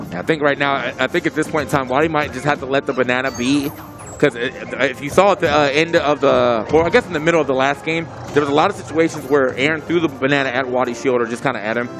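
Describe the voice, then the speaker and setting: A man talks at a very fast pace with fairly high pitch. His intonation stays fairly even, with music in the background. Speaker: esports commentator. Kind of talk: live commentary.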